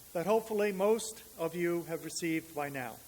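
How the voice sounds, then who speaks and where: A man speaks in a New England accent. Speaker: minister. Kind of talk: sermon.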